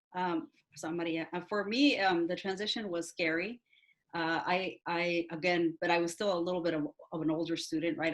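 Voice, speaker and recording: A woman with a Spanish accent, her pitch fairly low and her pitch variation ordinary. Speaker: university staff member. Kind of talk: panel webinar talk. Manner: halting, many fillers.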